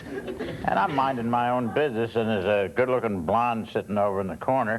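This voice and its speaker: Noticeable background noise runs behind a man speaking at a moderate pace. His medium pitch shows ordinary variation. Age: 80s+. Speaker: elderly advice panelist. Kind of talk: anecdote on TV panel show.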